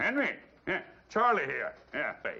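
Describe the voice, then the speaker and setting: Here a man performs a put-on character voice. He keeps to a moderate speed. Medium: short film.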